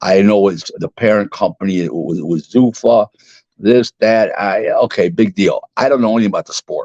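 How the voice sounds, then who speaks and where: A man at a moderate pace, with a dry, close sound and no echo. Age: 60s. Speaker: boxing businessman. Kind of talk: podcast interview. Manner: halting, with many repetitions and fillers.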